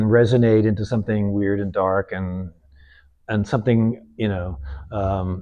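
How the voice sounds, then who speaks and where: Over a quiet background, a man with a dark, mellow tone speaks at a fairly slow pace. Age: 70s. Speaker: painter. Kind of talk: casual chat.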